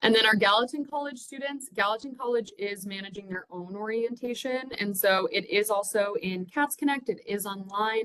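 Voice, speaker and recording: A woman's fairly high, bright and sharp voice with ordinary pitch variation and hardly any pauses. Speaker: university orientation director. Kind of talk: staff training presentation. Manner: fast.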